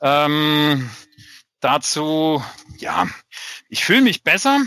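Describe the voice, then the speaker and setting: The tone is bright and sharp, and the sound is dry and close with no echo. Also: man. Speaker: podcast co-host. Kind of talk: casual chat.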